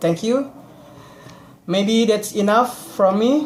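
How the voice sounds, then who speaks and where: The speech comes at a fairly slow pace. It is delivered in an Indonesian accent. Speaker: student. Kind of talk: class presentation. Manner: halting.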